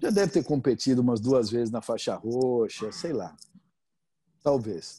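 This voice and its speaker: A man's dark, mellow voice of medium pitch, with lively intonation, long frequent pauses and a quiet background. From Brazil, São Paulo. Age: 50s. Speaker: jiu-jitsu instructor. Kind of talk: casual interview.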